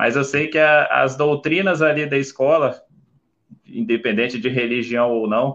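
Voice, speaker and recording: Speaking at a fairly slow pace, a man uses a normal speaking voice with fairly high pitch and ordinary pitch variation. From Brazil, Vila Velha, Espírito Santo. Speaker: flight attendant. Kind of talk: interview on a livestream.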